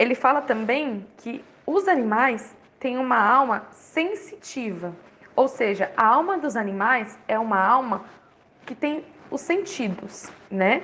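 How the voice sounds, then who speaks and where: With a high pitch and very wide pitch swings, a woman speaks at a very slow pace. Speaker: catechist giving religious formation. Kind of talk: lecture.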